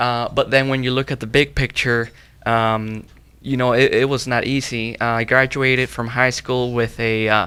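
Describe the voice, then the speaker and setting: A man with a Spanish accent speaks at a medium pitch and moderate pace, his bright, sharp tone delivered in a monotone, flat intonation. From Mexico, Zacatecas. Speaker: young professional guest. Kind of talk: panel interview. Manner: halting, many fillers and repeats.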